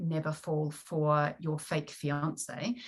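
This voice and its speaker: In a New Zealand accent, a woman speaks very slowly at a very deep, low pitch, her intonation monotone and flat. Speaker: romance novelist. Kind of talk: podcast interview.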